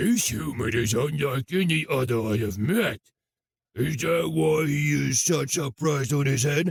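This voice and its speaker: Using a put-on character voice, a man speaks raspy at a medium pitch. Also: moderate pace. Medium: read story.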